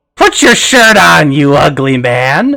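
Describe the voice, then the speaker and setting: A put-on character voice at a low-to-middle pitch delivers the lines at a fairly slow pace. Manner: scolding.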